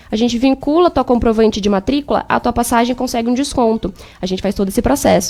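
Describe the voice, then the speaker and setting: A woman speaks at a very fast pace in a high pitch with ordinary pitch variation. Noticeable background noise is present. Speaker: exchange agency consultant. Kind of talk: radio interview, sales pitch.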